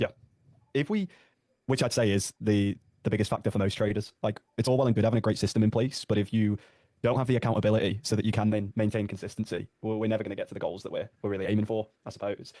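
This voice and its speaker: A man talks very fast in a British accent, his fairly low voice dark and mellow with monotone, flat intonation. The sound is dry and close, with no echo. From Britain. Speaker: sales closer. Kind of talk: sales call.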